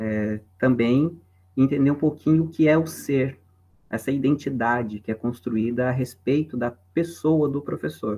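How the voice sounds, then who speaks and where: A man's dark, mellow voice at medium pitch, with ordinary pitch variation and a fairly slow pace. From southern Brazil (Santa Catarina, Paraná). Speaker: philosophy professor. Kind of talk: lecture. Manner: casual.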